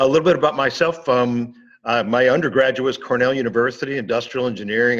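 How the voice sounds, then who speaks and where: A man rattles along at a very fast pace, the background quiet. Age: 60s. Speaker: business consultant and author. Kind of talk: interview. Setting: podcast.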